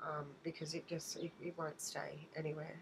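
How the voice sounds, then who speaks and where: This woman has an Australian accent and a fairly low pitch. She talks at a moderate pace. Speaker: beauty vlogger. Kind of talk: haul video, casual talk to camera. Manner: hesitant, many fillers.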